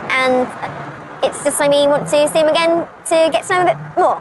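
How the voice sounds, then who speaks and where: A woman's high, lively voice at a fairly quick pace, with noticeable background noise. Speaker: dating show participant. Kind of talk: stand-up. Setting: stage with audience. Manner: loud.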